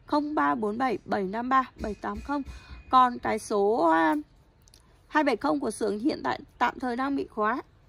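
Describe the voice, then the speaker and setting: Her high voice swinging very widely in pitch, a woman speaks at a very slow pace with long, frequent pauses. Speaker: knife seller. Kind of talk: sales pitch.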